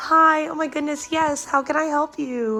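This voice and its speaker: Someone does a put-on character voice at a high pitch, monotone with flat intonation and a moderate pace, over light background noise. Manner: smiling, friendly.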